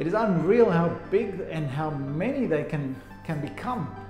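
Clear music plays in the background as a man speaks in a high pitch at a fairly slow pace. Room echo is audible. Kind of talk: informational talk to camera. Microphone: phone near.

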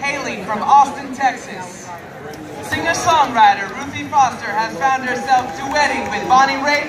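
Crowd noise fills the background. The speaker goes at a moderate pace. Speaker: festival emcee. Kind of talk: stage announcement. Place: stage.

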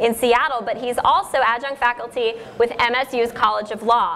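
A woman speaks in a high pitch over light background noise. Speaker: panel moderator. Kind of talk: event introduction. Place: hall.

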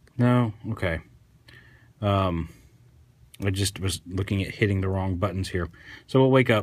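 A moderate pace with fairly even intonation. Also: man, fairly low pitch for a man. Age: 30s. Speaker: toy reviewer. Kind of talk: product review. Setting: sitting on the floor at home. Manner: casual, hesitant with fillers. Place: home room. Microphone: phone near.

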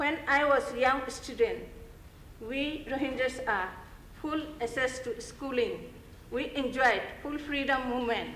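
The speech moves at a fairly slow pace. There is audible room echo and light background noise. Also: woman. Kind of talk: prepared speech. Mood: earnest, measured appeal. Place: hall. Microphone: podium.

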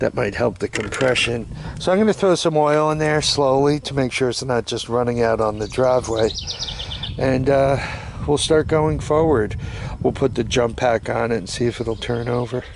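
A man's voice with ordinary pitch variation, dry and echo-free, over noticeable background noise. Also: moderate pace. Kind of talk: tutorial. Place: street. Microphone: phone near.

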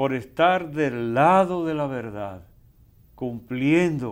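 A man talks at a very slow pace with lively intonation. The background is quiet. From Dominican Republic, Moca. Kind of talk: casual chat. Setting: studio. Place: studio.

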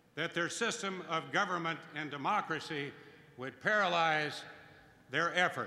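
A man at a fairly slow pace, with ordinary pitch variation and audible room echo. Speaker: host introducing a speaker. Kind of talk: formal introduction speech. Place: hall. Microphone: podium.

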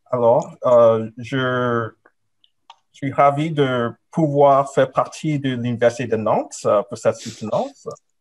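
A man at a very slow pace with fairly even intonation. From Nigeria and Canada. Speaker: professor. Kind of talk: academic thesis defense presentation. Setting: video call. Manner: hesitant, many fillers. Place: home room. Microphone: webcam.

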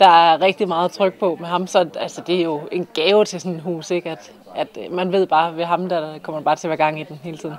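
Light background noise sits behind a woman with a fairly low pitch. She talks at a moderate pace with fairly even intonation. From Denmark. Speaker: TV host; TV show host. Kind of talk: casual interview. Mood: cheerful, smiling.

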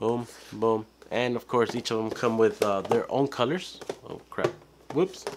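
At a fairly slow pace, a man speaks against noticeable background noise. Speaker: toy reviewer. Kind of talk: unboxing video. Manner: casual, halting.

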